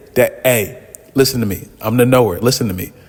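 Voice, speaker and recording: Medium pitch in a man's voice. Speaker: wrestling commentary youtuber. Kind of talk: casual vlog commentary. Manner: fast; halting, lots of repeats.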